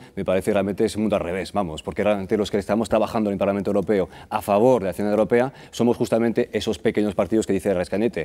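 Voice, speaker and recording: A man's dark, mellow tone at fairly low pitch, very fast, with fairly even intonation, on a very clean recording with a silent background. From France. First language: French (speaking Spanish). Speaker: political candidate. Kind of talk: TV interview.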